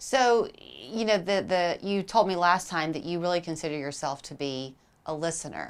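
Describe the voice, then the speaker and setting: An unremarkable speaking voice at a moderate pace, with ordinary pitch variation, on a very clean recording with a silent background. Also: woman, fairly low pitch for a woman. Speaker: TV news show host. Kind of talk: TV interview questions.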